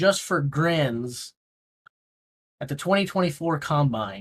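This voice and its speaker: With an American accent, a man speaks at a very slow pace in a somewhat breathy, fairly high voice with lively intonation. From Missouri. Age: 50s. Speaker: livestream host. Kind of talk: casual livestream commentary.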